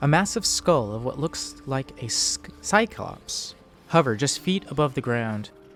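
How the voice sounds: With lively intonation, the speaker uses a natural reading voice.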